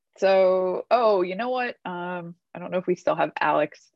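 This woman has an ordinary speaking voice at a medium pitch with ordinary pitch variation. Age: 40s. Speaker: book club host, accountant. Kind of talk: casual discussion on video call.

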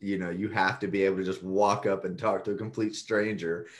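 A man with an American accent and a plain, everyday voice, fairly low in pitch at a fairly quick pace. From Texas. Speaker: real estate syndicator, Marine veteran. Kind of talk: interview.

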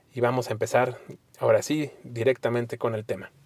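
Moderate pace and ordinary pitch variation from a man, in a dry, close sound with no echo. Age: 30s. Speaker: podcast host, recovering addict. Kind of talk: solo monologue.

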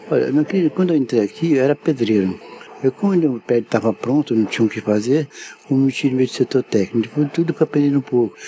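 A man talks at a very fast pace with lively intonation and very even loudness, over noticeable background noise. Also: medium pitch for a man. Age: 80s+. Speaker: theater technician. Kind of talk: interview storytelling. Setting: theater.

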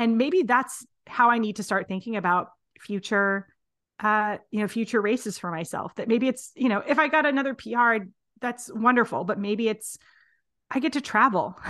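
A woman at a fairly high pitch and moderate pace, with ordinary pitch variation, over a quiet background. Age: 40s. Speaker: running coach. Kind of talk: casual chat. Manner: halting.

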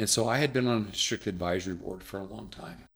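A man in a fairly low pitch speaks in a plain, everyday voice. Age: 60s. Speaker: district superintendent. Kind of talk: casual interview.

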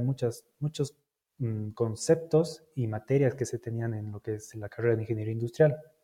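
The voice is dark, mellow and somewhat breathy. It moves at a fairly quick pace with fairly even intonation. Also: man. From Bolivia. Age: 30s. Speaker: logistics manager. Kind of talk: interview.

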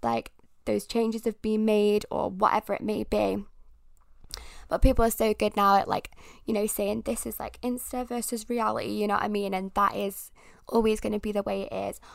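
A woman speaks at a moderate pace in a British accent, with an animated tone. The recording is very clean, with a silent background. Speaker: podcast host. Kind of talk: casual solo podcast monologue. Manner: animated, rambling.

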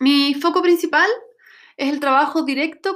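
A high-pitched woman's voice at a moderate pace, with ordinary pitch variation. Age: 40s. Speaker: life coach. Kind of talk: online course talk.

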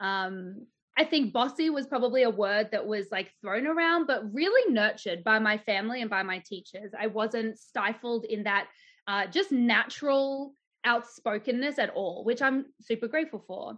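An Australian accent colors this woman's fairly high-pitched voice and lively intonation. She speaks at a moderate pace against a quiet background. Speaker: embodied leadership coach and business owner. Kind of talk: casual interview chat.

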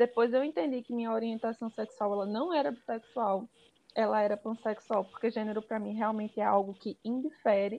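A woman with a plain, everyday voice speaks at a fairly high pitch and a fairly quick pace. Her pitch varies in an ordinary way. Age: 20s. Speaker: NGO worker and activist. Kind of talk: casual chat.

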